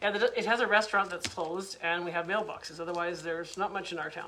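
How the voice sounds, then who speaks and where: Over noticeable background noise, a woman rattles off words at a very fast pace in a medium pitch with flat, monotone intonation. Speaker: online business coach. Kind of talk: live webinar training. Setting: Facebook live stream.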